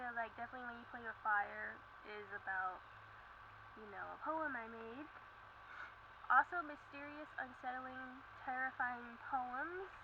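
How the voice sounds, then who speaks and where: A soft-spoken voice with big swings in loudness and long, frequent pauses. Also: woman, high pitch for a woman, ordinary pitch variation. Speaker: zine maker. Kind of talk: casual talk to camera. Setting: outdoors. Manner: quiet, soft-spoken.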